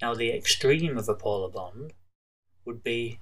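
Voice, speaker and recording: A man at a moderate pace, with audible room echo. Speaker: chemistry teacher. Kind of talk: tutorial. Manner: casual, with frequent fillers and restarts.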